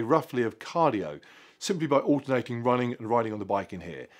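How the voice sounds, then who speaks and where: Against a quiet background, a man talks at a very fast pace. His voice sits at a medium pitch with lively intonation. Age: 40s. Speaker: fitness vlogger. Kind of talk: vlog monologue to camera. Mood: earnest, reflective. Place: garage.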